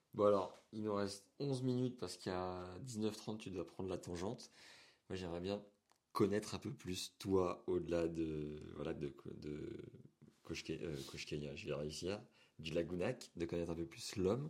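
With long, frequent pauses, a man talks at a fairly slow pace in a very deep, low voice with ordinary pitch variation. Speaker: podcast host. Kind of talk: interview.

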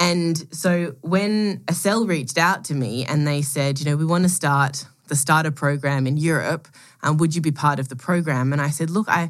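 Speaking at a moderate pace with an Australian accent, a woman uses a very deep, low pitch and ordinary pitch variation. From Melbourne, Australia. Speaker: product executive and angel scout. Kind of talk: casual interview chat.

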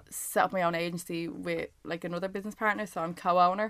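A woman with an Irish accent speaks at a fairly low pitch with fairly even intonation on a very clean recording with a silent background. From Ireland. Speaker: reality TV contestant. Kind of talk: casual chat.

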